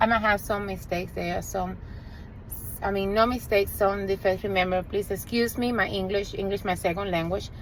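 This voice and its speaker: A woman speaks at a medium pitch and a fairly quick pace, with vocal fry. Her intonation is monotone and flat. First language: Spanish. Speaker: realtor and HVAC business owner. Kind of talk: direct-to-camera sales pitch. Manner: earnest, conversational with hesitations.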